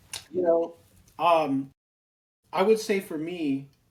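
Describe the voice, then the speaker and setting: A man with an American accent, high pitch, lively intonation and a very slow pace. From Lowell, Massachusetts, then Phoenix, Arizona from age 11. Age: 40s. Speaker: podcast host. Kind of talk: casual chat. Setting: home studio. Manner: animated.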